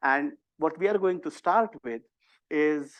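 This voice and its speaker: Speaking with an Indian accent, a man talks at a fairly slow pace with ordinary pitch variation. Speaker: university professor and disease modeler. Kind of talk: workshop tutorial. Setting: in-person workshop also streamed on video call.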